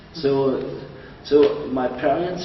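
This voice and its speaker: A man's fairly high voice with a German accent, ordinary pitch variation, audible room echo and noticeable background noise. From East Germany, Dresden. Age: 70s. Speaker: interviewee. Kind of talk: interview.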